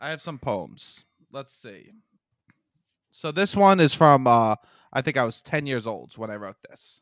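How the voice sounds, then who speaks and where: On a very clean recording with a silent background, a man with a New York accent speaks at medium pitch and a fairly slow pace, with lively intonation, big swings in loudness and long, frequent pauses. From Staten Island, New York. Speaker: comedian. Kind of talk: casual chat, reading aloud from old books.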